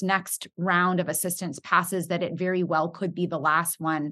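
A woman with an unremarkable speaking voice talks at a medium pitch and moderate pace over a quiet background. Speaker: podcast host. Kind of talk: podcast interview.

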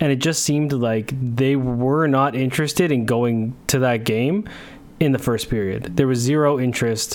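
A man's plain, everyday voice with a Canadian accent, medium pitch, ordinary pitch variation, very even loudness and a moderate pace. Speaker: sports podcast host. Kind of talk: casual chat. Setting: video call.

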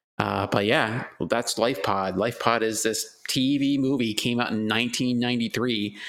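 A man talks in a normal speaking voice with a medium pitch. His pace is moderate and his pitch variation ordinary. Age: 30s. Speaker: podcast co-host. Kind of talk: casual chat.

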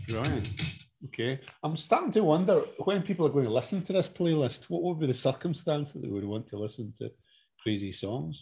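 Speaking at a fairly quick clip, this man has a fairly high pitch, a dark, mellow tone with vocal fry, and very wide pitch swings, all on a very clean recording with a silent background. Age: 40s. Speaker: podcast co-host, father. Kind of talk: casual chat.

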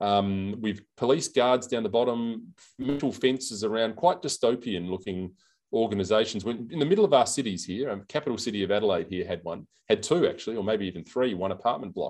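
A man with an Australian accent, medium pitch, ordinary pitch variation and a fairly quick pace, over a quiet background. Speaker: senator. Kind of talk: interview. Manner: hesitant, halting.

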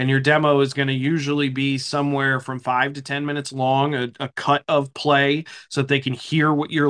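Fairly high in pitch, a man speaks quickly in an ordinary speaking voice, his intonation fairly even. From eastern Pennsylvania. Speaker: hockey play-by-play broadcaster. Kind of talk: interview, casual chat.

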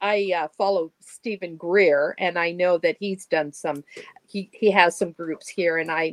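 A woman's plain, everyday voice, fairly low in pitch, at a fairly slow pace with fairly even intonation, in a dry, close sound with no echo. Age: 60s. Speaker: healer and channeler. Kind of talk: casual interview chat.

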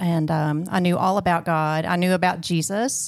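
A woman with a Southern US accent speaks at a fairly low pitch, her voice dry and close with no echo on a very clean recording with a silent background. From Arkansas, US South. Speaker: guest sharing marriage testimony. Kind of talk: testimony.

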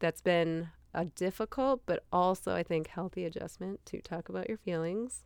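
A woman with a plain, everyday voice and an American accent speaks at a moderate pace and a fairly low pitch, with ordinary pitch variation. The recording is very clean with a silent background, dry and close with no echo. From Minnesota. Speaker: lawyer. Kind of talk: interview conversation.

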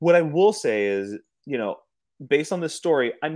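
Lively intonation marks this man's unremarkable speaking voice, delivered at a moderate pace. The recording is very clean, with a silent background. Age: 40s. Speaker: guest podcaster. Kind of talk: casual chat.

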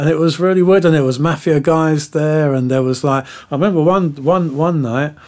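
A man with a London accent, his pitch fairly high and his intonation fairly even. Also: moderate pace, hardly any pauses. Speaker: music producer. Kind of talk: interview.

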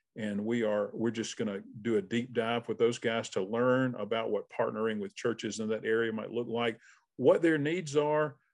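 Against a quiet background, a man with a Southern US accent speaks at a moderate pace, his pitch medium with ordinary variation. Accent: Southern US (Georgia). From South Georgia, US (Albany). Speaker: missions consultant, former pastor. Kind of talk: interview.

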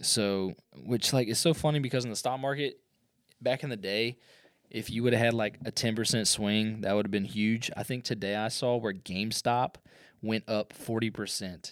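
A man speaks in an ordinary speaking voice at medium pitch and a moderate pace, with fairly even intonation, on a very clean recording with a silent background. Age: 30s. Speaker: podcast host, entrepreneur. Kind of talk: casual solo podcast monologue. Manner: filler-heavy, conversational.

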